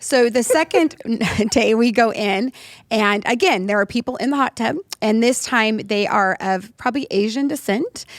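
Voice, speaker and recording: The sound is dry and close with no echo as a woman with a Californian accent speaks at a moderate pace. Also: fairly high pitch for a woman, ordinary pitch variation. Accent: very California, very American. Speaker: podcast co-host. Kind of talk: casual chat.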